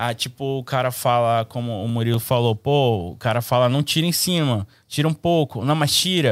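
A man talks in a normal speaking voice at a medium pitch and moderate pace, with ordinary pitch variation and hardly any pauses. The recording is very clean, with a silent background. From Brazil, Manaus, Amazonas. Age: 20s. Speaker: barber. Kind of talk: casual chat.

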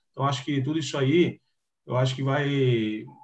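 A man's somewhat breathy, fairly high voice. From Piracicaba, interior of São Paulo. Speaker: retired footballer. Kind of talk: interview.

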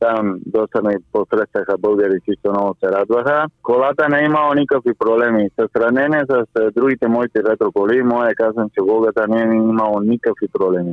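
Loudness stays very even, with hardly any pauses. The speaker has a Spanish accent. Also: man, medium pitch for a man, ordinary pitch variation, moderate pace. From Cuba. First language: Spanish (speaking Bulgarian). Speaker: retro car enthusiast. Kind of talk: interview. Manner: halting.

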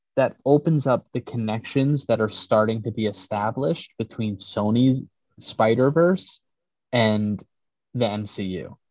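In an unremarkable speaking voice, a man talks at medium pitch and a fairly slow pace, with ordinary pitch variation. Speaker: podcast host. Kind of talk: casual chat.

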